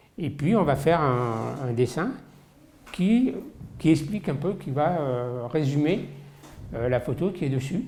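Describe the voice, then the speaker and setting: A very slow, somewhat breathy man's voice at fairly high pitch, dark and mellow in tone, with lively intonation, long, frequent pauses, and audible room echo. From Paris region, France. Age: 60s. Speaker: football collector. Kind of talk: interview testimony. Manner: hesitant, many fillers.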